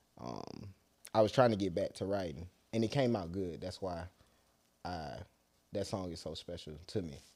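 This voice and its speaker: With a very deep, low pitch and a dark, mellow tone, a man with an American accent talks at a moderate pace, with big swings in loudness and long, frequent pauses. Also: ordinary pitch variation, very clean recording, silent background. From US South, Atlanta. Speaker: rapper. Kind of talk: casual interview.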